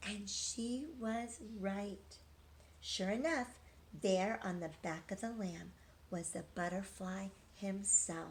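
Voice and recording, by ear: A woman speaks at a slow pace with fairly even intonation. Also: medium pitch for a woman.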